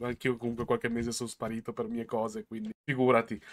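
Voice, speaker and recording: At a fairly quick pace, a man talks with a bright, sharp tone at a medium pitch. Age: 30s. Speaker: podcast host interviewing card game players. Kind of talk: casual interview chat. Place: home room. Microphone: webcam.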